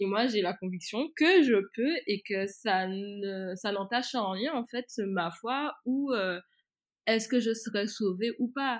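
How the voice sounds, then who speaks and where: A woman with a fairly high voice speaks very slowly. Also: ordinary pitch variation. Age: 20s. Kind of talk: casual chat. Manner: halting.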